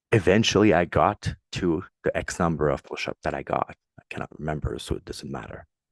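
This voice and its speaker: On a very clean recording with a silent background, a man with a French Canadian accent speaks at a fairly quick pace. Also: dry, close sound with no echo. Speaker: podcast host, military veteran. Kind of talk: solo motivational podcast. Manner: casual, conversational.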